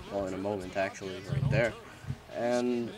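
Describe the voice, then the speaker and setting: This man talks at a moderate pace with ordinary pitch variation. Noticeable background noise sits behind him. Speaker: gaming commentator. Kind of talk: casual gameplay commentary.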